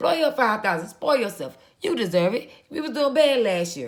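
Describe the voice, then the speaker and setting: Loud and animated, this woman's voice swings very widely in pitch. She talks at a moderate pace. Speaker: vlogger and small business owner. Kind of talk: casual monologue.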